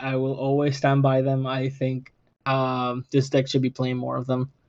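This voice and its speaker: A man speaks with a non-native accent. His pitch is fairly high, and his pace is fairly slow. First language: not English. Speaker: podcast host. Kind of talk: casual chat.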